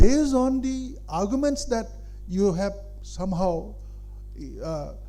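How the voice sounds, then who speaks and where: A man's voice with audible room echo. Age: 70s. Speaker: senior public figure addressing students. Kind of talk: speech to an audience. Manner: halting, with many fillers.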